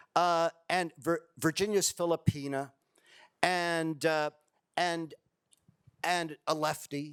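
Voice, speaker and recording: In a very clean recording with a silent background, a man with an American accent sounds dry and close, with no echo. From US Midwest, Ohio. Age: 60s. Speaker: workshop leader, political organizer. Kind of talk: workshop talk.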